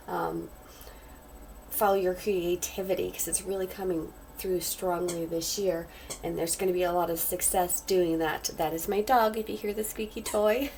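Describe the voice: With vocal fry and a slightly mellow tone, a woman talks at a moderate pace in a fairly low voice with fairly even intonation.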